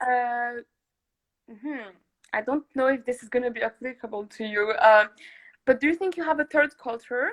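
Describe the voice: A woman talks at a moderate pace with a fairly high pitch, ordinary pitch variation and a fairly bright tone. The sound is dry and close, with no echo.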